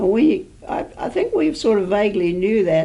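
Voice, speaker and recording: A woman speaks with a New Zealand accent. The room echo is audible. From New Zealand, rural sheep station. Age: 80s+. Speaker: oral history interviewee, assisted living resident. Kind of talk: oral history interview. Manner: halting.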